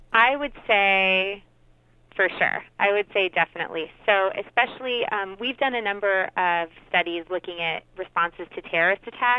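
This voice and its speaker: A normal speaking voice from a woman, her pitch varying in an ordinary way. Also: medium pitch for a woman, moderate pace. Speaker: psychology researcher. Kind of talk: radio interview.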